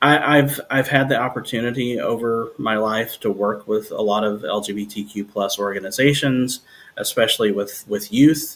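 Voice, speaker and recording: In an American accent, a man with an unremarkable speaking voice talks at a medium pitch and moderate pace with ordinary pitch variation. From New Jersey. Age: 40s. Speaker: singer-songwriter. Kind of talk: casual interview chat.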